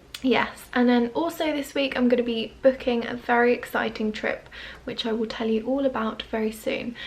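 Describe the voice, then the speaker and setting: A woman speaks quietly at a moderate pace, her high-pitched voice keeping a fairly even intonation. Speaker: lifestyle vlogger. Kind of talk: vlog to camera. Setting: at home. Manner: casual, chatty.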